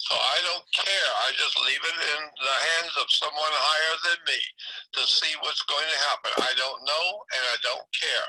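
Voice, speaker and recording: Noticeable background noise sits behind speech that unfolds fairly slowly. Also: man, very even loudness. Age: 80s+. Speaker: conspiracy researcher interviewee. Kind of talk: casual chat.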